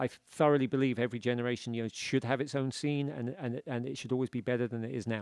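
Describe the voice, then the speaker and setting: Talking at a very fast pace with hardly any pauses, a man with a British accent keeps a medium pitch and fairly even intonation. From UK. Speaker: author. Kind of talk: casual chat.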